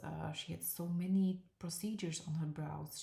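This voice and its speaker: In a non-native accent, a woman speaks with a fairly low pitch, a dark, mellow tone, and a somewhat breathy quality. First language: not English. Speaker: permanent makeup artist and trainer. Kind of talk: live stream tutorial. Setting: live stream. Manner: halting, many fillers.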